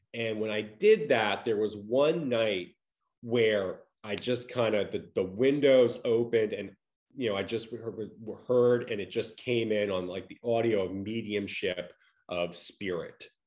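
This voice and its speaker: An unremarkable speaking voice, a man with an American accent talks at a fairly slow pace with fairly even intonation. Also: medium pitch for a man. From Long Island, New York. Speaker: near-death experiencer. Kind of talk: interview.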